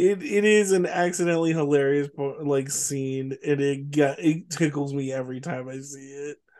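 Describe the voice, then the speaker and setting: Noticeable background noise sits behind a man with an American accent and a fairly high pitch. He speaks at a moderate pace with fairly even intonation and big swings in loudness. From Richmond, California. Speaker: podcast co-host. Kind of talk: casual chat.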